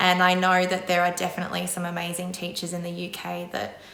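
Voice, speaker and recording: A woman's fairly low voice in an Australian accent, with audible room echo and noticeable background noise. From Australia, Brisbane. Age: 30s. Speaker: secondary school drama teacher. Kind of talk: interview monologue. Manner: casual, with frequent fillers.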